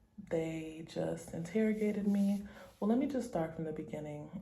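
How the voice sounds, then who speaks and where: A somewhat breathy, dark, mellow tone with ordinary pitch variation and audible room echo. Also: woman. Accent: American. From United States. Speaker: travel vlogger. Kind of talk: travel vlog; casual chat.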